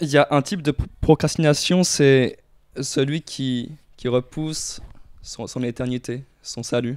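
A man talks at a very slow pace with long, frequent pauses and fairly even intonation. His pitch is fairly high, and the background is quiet. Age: young. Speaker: podcast guest. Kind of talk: casual chat. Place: home room. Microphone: handheld.

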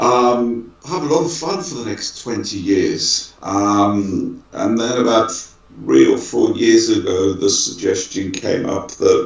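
A man is speaking. Audible room echo is present. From Manchester, UK. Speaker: law firm managing partner. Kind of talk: interview conversation. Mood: relaxed, reflective. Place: office. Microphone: video call.

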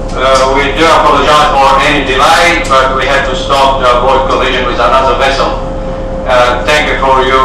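Flat, monotone intonation at a fairly quick pace, with audible room echo and noticeable background noise. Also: man. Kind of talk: public address announcement. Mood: calm, reassuring after incident. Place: boat.

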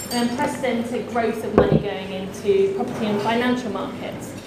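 Amid loud background noise and audible room echo, a woman speaks at a fairly quick pace. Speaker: campaign group director and panel chair. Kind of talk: panel chairing. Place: meeting room.

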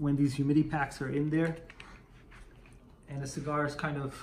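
A man is speaking. His voice is somewhat breathy. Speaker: cigar enthusiast vlogger. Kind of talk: casual vlog chat. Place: home room. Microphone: camera far.

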